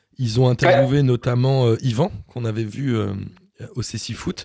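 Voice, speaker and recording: In a very clean recording with a silent background, a man talks at a moderate pace, medium in pitch, somewhat breathy, with a dark, mellow tone. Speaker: podcast host. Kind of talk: casual chat.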